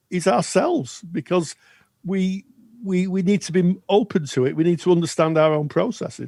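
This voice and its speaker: Speech in a British accent comes at a moderate pace on a very clean recording with a silent background. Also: man. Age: 60s. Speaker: podcast co-host, counselling educator. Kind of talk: educational podcast discussion. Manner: halting, repeats words.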